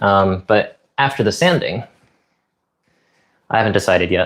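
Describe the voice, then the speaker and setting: Somewhat breathy, a man speaks with an American accent at a moderate pace. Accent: clearly American. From Japan, early childhood in New York. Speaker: live streamer. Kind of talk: casual livestream chat while woodworking. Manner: casual, filler-heavy.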